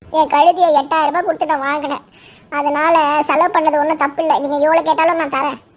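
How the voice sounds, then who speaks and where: Delivered at a fairly quick pace, the cartoonish character voice sits at a high pitch. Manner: emotional, exclamatory.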